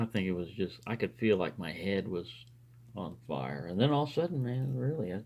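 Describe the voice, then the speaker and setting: The speaker's dark, mellow tone carries vocal fry at a moderate pace. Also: man. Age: 60s. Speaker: lockpicking hobbyist video maker. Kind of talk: casual monologue while lockpicking. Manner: conversational with fillers and hesitations.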